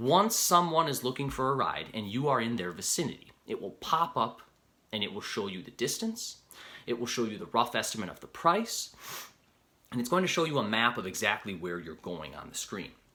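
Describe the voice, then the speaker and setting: Very wide pitch swings and big swings in loudness in a bright, sharp tone, with an American accent. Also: man, medium pitch for a man, fairly quick pace. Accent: Upper Midwest, heard by others as Canadian. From Upper Peninsula of Michigan. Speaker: rideshare driver and video creator. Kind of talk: tutorial. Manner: casual, conversational.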